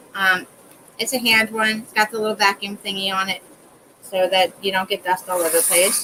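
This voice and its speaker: A woman's medium-pitched voice at a moderate pace, against noticeable background noise. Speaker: crafts livestreamer. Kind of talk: tutorial. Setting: live stream from home. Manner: casual, chatty.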